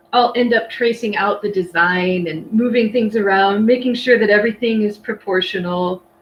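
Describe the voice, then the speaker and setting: Noticeable background noise runs under this recording. A woman with a fairly high voice talks at a moderate pace. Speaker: horn bell painter giving a demo. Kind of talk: tutorial. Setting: live stream with chat.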